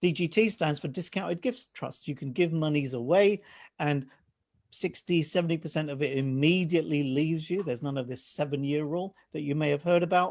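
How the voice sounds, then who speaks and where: A man with a fairly high pitch and ordinary pitch variation talks at a fairly quick pace against a quiet background. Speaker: financial adviser. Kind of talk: presentation to live online audience. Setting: live stream. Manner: fast.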